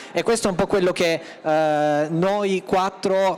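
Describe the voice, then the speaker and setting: The speaker is a man. He talks at a fairly slow pace with fairly even intonation. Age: 20s. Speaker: festival artistic coordinator. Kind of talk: panel presentation.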